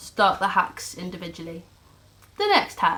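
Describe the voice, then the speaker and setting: A woman is talking. Her voice has a bright, sharp tone. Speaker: vlogger. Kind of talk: casual talk to camera.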